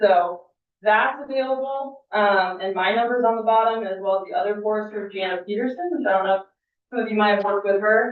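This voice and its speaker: This woman has a fairly high voice. She speaks at a fairly quick pace. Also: ordinary pitch variation. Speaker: state forester and firefighter. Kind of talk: public presentation at council meeting. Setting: city council meeting. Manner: loud.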